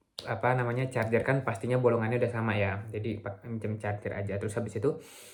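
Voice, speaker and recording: The pace is very fast, with noticeable background noise. A man speaks at a medium pitch with monotone, flat intonation. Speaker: vlogger, visiting researcher. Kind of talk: video diary vlog. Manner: halting, frequent self-corrections; casual Indonesian with English mixed in.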